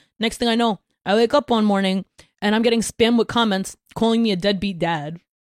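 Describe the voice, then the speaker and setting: In a plain, everyday voice, a woman with an American accent speaks at a fairly quick pace and a fairly high pitch, with ordinary pitch variation and very even loudness, the sound dry and close with no echo on a very clean recording with a silent background. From Brooklyn, New York. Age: 20s. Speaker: content creator and musician. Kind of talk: casual chat.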